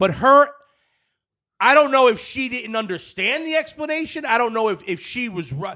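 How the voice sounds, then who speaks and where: With a New Jersey accent, a man projects a raised, animated voice at extremely high pitch, with lively intonation and a bright, sharp tone. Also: moderate pace. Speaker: golf podcast host. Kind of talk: casual chat. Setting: studio. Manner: loud.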